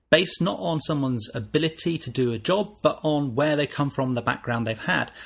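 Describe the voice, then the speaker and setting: Fairly high-pitched and somewhat breathy, a man talks at a fairly quick pace with lively intonation. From northern England, Wirral near Liverpool. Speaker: podcast host. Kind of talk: podcast monologue.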